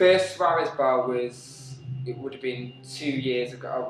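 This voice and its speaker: Over noticeable background noise and audible room echo, the speech moves at a fairly slow pace with fairly even intonation. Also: man. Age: 20s. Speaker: dancer and dance teacher. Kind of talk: interview. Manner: halting.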